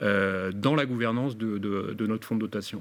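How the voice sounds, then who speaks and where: Here a man talks at a moderate pace. His pitch is fairly low, with ordinary variation. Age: 60s. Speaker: business owner. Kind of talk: webinar presentation. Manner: halting, many fillers.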